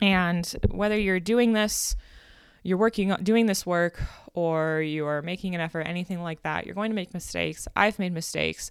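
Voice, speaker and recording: In a normal speaking voice, a woman with a fairly low pitch talks at a moderate pace with fairly even intonation. The recording is very clean, with a silent background. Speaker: podcast host and life coach. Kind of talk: solo podcast monologue. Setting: home recording with construction noise nearby.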